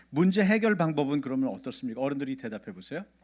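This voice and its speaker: Recorded very clean with a silent background, a man speaks with very wide pitch swings. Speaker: pastor. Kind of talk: sermon. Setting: church. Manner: childlike simple intonation for kids; interactive, questions to congregation.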